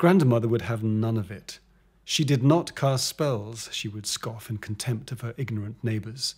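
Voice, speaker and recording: A man is speaking in a somewhat breathy voice. His pitch varies in an ordinary way. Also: very clean recording, silent background. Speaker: author. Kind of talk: audiobook reading.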